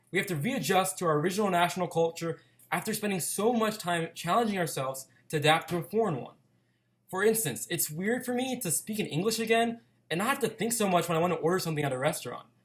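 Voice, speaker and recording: In an American accent, a man with a high voice talks at a very fast pace with lively intonation. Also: very clean recording, silent background. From United States. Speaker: student blogger. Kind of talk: scripted narration.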